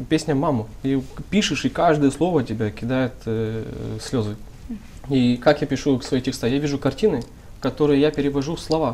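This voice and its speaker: The speaker, with a Moldovan accent, leaves long, frequent pauses. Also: moderate pace. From Gagauzia, Moldova. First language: Gagauz (speaking Russian). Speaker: rap artist, musician. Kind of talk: talk show discussion.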